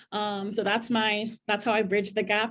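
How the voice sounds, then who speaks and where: Somewhat breathy and fairly high-pitched, a woman speaks at a fairly quick pace against a quiet background. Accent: Trinidadian. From Trinidad and Tobago. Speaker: diversity director at a college. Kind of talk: panel discussion. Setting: video call.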